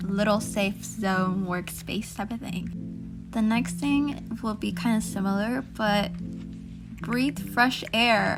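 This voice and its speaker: Music plays behind the voice. A woman talks at a very slow pace. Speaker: digital artist. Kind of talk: casual talk over drawing.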